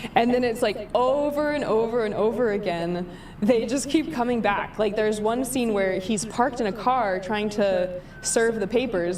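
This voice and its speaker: A woman speaks at medium pitch and a moderate pace. Audible room echo and noticeable background noise come through. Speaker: livestreamer. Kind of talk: casual commentary livestream.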